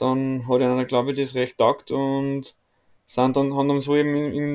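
A man's fairly high voice at a moderate pace. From Austria. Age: 20s. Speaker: volleyball player. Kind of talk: casual interview chat. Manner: hesitant, many fillers.

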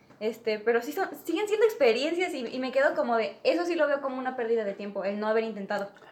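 With a Mexican accent, a woman talks at a very fast pace in a high pitch, with very wide pitch swings. She hardly pauses, and noticeable background noise runs underneath. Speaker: podcast guest. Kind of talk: casual chat.

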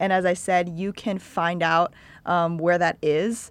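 This woman's intonation stays fairly even. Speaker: podcast co-host. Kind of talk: casual chat. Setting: studio.

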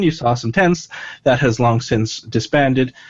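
This man has an unremarkable speaking voice at medium pitch, delivered at a fairly slow pace. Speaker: dungeon master. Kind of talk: casual tabletop roleplaying game chat.

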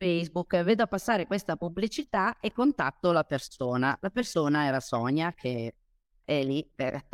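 A woman's fairly low voice with very wide pitch swings at a moderate pace, dry and close with no echo, on a very clean recording against a silent background. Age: 50s. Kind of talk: interview on a live stream.

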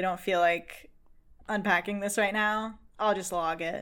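In an American accent, a woman with a medium pitch and a bright, sharp tone speaks over a silent background in a very clean recording. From Massachusetts, US. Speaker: film content creator. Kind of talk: casual chat.

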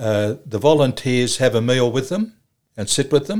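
A man talks with an Australian accent at a moderate pace. His pitch is medium and his intonation lively. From Australia, Cessnock, New South Wales. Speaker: charity leader for the homeless. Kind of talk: interview.

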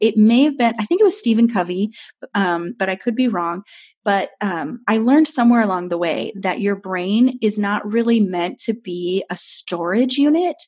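In an American accent, a woman talks at a moderate pace in a fairly high, somewhat breathy voice with lively intonation. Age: 40s. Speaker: pastor. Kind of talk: interview. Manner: animated.

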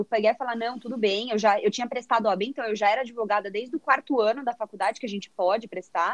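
A woman talks at a fairly quick pace, with a dry, close sound that has no echo. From São Paulo state interior, Brazil. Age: 20s. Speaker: corporate sales trainee, former lawyer. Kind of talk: casual chat. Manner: talkative, animated.

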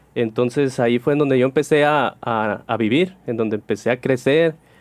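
A man's plain, everyday voice at a moderate pace, with ordinary pitch variation. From Sonora, Mexico (Cananea). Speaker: priest. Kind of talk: casual chat.

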